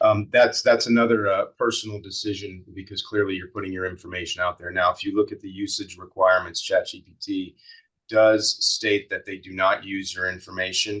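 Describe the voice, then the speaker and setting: Here a man talks at a moderate pace. The background is quiet. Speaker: webinar presenter on AI and strategy. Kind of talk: webinar Q&A answer. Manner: monotone; halting, many fillers.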